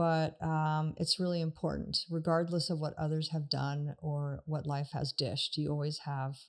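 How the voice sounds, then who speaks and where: The recording is very clean with a silent background, and a woman speaks at a moderate pace. Her pitch is very deep and low, with fairly even intonation. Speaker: marriage and family therapist. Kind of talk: podcast talk on emotional health.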